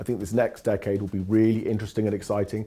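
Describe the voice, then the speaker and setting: The speaker sounds enthusiastic, with music playing in the background. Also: man. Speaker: training company founder. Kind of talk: corporate interview answer.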